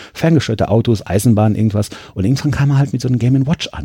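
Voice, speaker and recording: A man talks at a very fast pace in a dark, mellow, somewhat breathy tone with lively intonation. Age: 30s. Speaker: museum press spokesman and retro gaming collector. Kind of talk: casual interview. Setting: pinball and arcade museum during an event.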